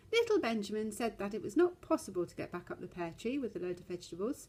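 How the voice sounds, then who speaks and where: Somewhat breathy, a woman talks at a very fast pace with very wide pitch swings. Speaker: storyteller. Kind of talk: children's story reading.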